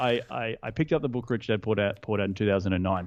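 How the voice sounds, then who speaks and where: A very fast delivery in an Australian accent. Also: man. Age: 30s. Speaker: real estate investor. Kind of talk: podcast interview. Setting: call. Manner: animated.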